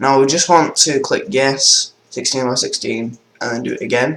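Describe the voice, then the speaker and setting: A man with a Manchester accent, speaking at a moderate pace. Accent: northern English (Manchester area). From northern England, near Manchester. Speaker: gaming tutorial youtuber. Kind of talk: tutorial. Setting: screen-recorded computer tutorial. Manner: casual, hesitant with fillers.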